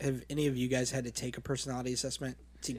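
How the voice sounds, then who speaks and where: At a very fast pace, a man is talking. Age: 30s. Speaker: mortgage recruiter. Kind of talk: casual chat. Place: studio. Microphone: studio mic.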